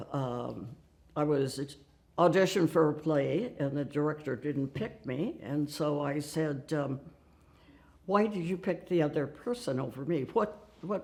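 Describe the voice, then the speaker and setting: With an American accent, a woman speaks fairly slowly in a very deep, low pitch, her intonation lively. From Nebraska, US Midwest. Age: 90s. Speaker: women's rights activist. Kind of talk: oral history interview. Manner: halting.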